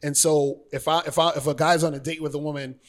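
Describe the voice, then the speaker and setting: This is a man's voice. His pitch sits fairly high. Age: 40s. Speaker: dating and life coach. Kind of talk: casual interview chat.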